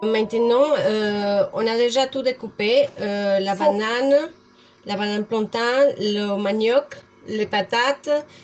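The speech is very slow, with fairly even intonation. Noticeable background noise runs underneath. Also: woman, fairly high pitch for a woman. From Colombia. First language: Spanish (speaking French). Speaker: home cook, mother. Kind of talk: casual cooking chat.

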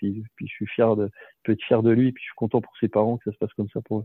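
Speaking fairly quickly, a man delivers his words. His voice has a medium pitch. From western France, Cholet area. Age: 40s. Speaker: professional basketball player. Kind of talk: interview. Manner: hesitant, many repetitions.

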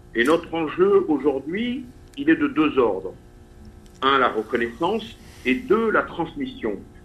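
Pausing long and often, a man speaks very slowly at a high pitch, his voice swinging very widely in pitch. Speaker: theatre author. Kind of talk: radio interview.

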